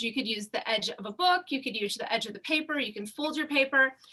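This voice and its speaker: A woman uses a raised, projected voice at a high pitch. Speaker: fashion illustration instructor. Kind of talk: tutorial.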